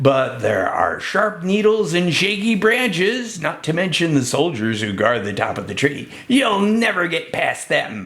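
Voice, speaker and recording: Pitched high for a man, this voice is a put-on character voice. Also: moderate pace. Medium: read story.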